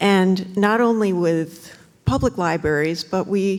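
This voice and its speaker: A woman with a medium-pitched voice and ordinary pitch variation talks while noticeable background noise runs underneath. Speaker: librarian speaking at public comment. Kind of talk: public comment at town council meeting.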